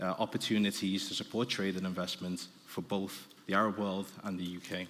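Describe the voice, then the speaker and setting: In a Liverpool accent, a man talks with a very deep, low pitch and monotone, flat intonation. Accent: Liverpool (Scouse). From Liverpool, northern England. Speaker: business development director, panel speaker. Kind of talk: conference presentation. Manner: fast; halting, many fillers.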